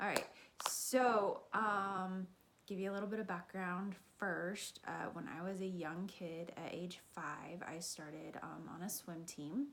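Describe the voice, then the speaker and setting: In an American accent, a normal speaking voice moves at a fairly slow pace with ordinary pitch variation. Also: woman, medium pitch for a woman. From Kansas and Texas. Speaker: fitness vlogger, triathlete. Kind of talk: personal story. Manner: casual, many fillers.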